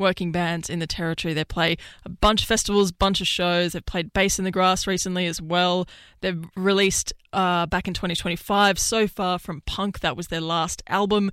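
With a fairly bright, clear, smooth tone, a woman speaks at a moderate pace in a fairly low pitch and fairly even intonation.

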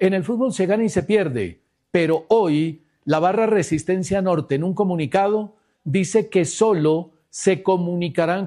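A man speaks with a high pitch and a dark, mellow tone. His pitch shifts by an ordinary amount.

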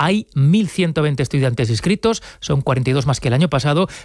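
This man speaks at a fairly quick pace with lively intonation. His pitch is fairly high and his tone slightly mellow.

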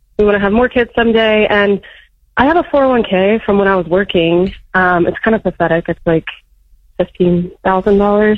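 Her medium-pitched voice varies in pitch in an ordinary way as the woman talks at a moderate pace.

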